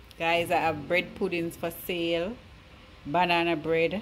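Noticeable background noise is present. The speaking pace is fairly slow. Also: woman. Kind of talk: casual vlog chat. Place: kitchen. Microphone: phone near.

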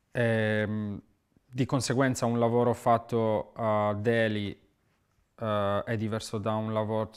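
In a quiet background, a man speaks very slowly with monotone, flat intonation. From Sardinia, Italy. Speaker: muralist artist. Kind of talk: interview monologue; interview answer. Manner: halting, repeats words. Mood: calm, reflective. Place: studio.

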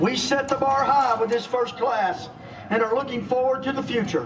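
Over noticeable background noise, a man speaks at a moderate pace in an extremely high voice with ordinary pitch variation. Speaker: stadium announcer. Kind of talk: ceremony announcement. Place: stadium.

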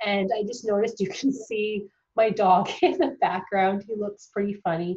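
A woman's somewhat breathy voice at a medium pitch. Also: ordinary pitch variation, moderate pace. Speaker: dental hygiene tutor. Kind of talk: casual talk to camera.

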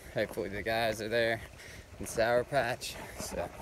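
Fairly slow in pace, a man speaks in a dry sound with no echo, with noticeable background noise behind him. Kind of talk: casual vlog chat. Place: forest. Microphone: phone near.

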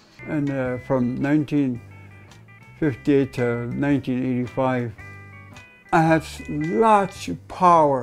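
A man's very slow, lively-toned speech full of long, frequent pauses, with faint music in the background. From Interior Alaska. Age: 70s. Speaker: guitarist and singer. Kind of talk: interview answer. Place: home room.

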